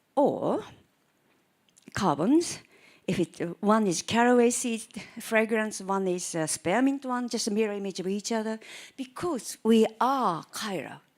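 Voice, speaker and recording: With a Japanese accent, a woman speaks at a fairly slow pace, her intonation lively and her pauses long and frequent. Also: fairly high pitch for a woman. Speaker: chemistry professor. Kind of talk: lecture.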